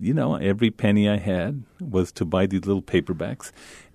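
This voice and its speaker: Speaking at a fairly quick pace, a man with an American accent uses a plain, everyday voice. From El Paso, Texas (Isleta). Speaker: author. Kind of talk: interview. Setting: studio.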